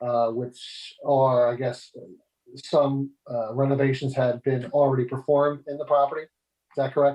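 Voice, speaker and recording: A man's medium-pitched, flat, monotone delivery at a moderate pace, with big swings in loudness. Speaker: zoning board member. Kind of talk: public meeting hearing. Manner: halting.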